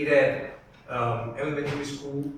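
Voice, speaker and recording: A man's fairly high voice with an Italian accent, plus audible room echo and noticeable background noise. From Italy, Rome. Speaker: architecture curator. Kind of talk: conference talk. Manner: halting.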